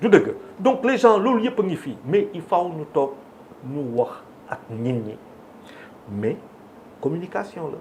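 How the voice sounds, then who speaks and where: A man's high-pitched voice at a very slow pace, with long, frequent pauses, very wide pitch swings and big swings in loudness. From Senegal. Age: 60s. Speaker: media figure and business owner. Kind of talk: televised debate. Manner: code-switching French and Wolof.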